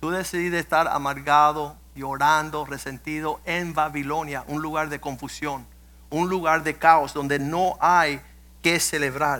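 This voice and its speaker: A man's fairly high-pitched voice, bright and sharp in tone, fairly slow and monotone in flat intonation, on a very clean recording with a silent background. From US, Cuban-American family. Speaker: pastor. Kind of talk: sermon. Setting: church.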